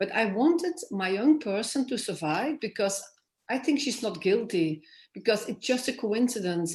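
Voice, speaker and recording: A somewhat breathy voice in a Flemish accent, with lively intonation and a fairly slow pace. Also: woman. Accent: Flemish Dutch accent in English. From Flanders, Belgium. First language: Dutch (Flemish). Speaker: author. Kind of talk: interview. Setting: festival stage. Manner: halting.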